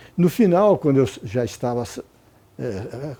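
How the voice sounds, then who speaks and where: A man's medium-pitched voice has a dark, mellow tone and very wide pitch swings. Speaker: retired judge and law professor. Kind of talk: interview. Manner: halting, many repetitions.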